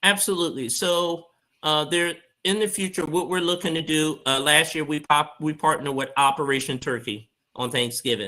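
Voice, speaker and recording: A man with an American accent and a bright, sharp tone talks at a fairly high pitch and a moderate pace, with ordinary pitch variation. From Philadelphia, US. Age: 40s. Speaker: community outreach founder. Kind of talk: interview conversation.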